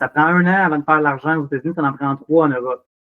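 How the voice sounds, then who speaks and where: Talking very fast in a Quebec accent, a man uses a fairly high voice. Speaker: drinks company operations manager. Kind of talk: casual interview. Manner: animated.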